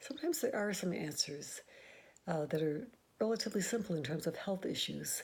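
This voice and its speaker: At a fairly quick pace, a woman speaks in a somewhat breathy voice with lively intonation. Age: 70s. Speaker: nurse practitioner. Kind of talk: casual talk to camera.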